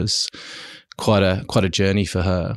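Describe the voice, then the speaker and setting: A man's fairly low voice, monotone and flat in intonation, at a moderate pace. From Germany. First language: German. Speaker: company CEO. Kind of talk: interview.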